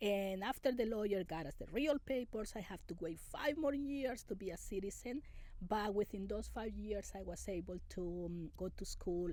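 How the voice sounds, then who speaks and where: In a Spanish accent, a woman with a dark, mellow tone and vocal fry talks at a medium pitch and moderate pace, using lively intonation and hardly any pauses. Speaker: immigrant interviewee. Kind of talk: interview. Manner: halting.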